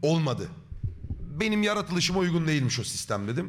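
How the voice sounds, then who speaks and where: With an animated tone, a man's pitch shifts by a normal amount as he talks. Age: 30s. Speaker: streamer. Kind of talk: live stream chat.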